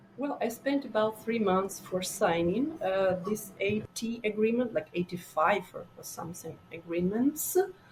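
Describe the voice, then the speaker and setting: A woman talks at a fairly slow pace with lively intonation and hardly any pauses. Music plays in the background. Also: medium pitch for a woman. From Ukraine, Donbas (Donetsk). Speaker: immigrant startup founder. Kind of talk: podcast interview. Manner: halting, many fillers.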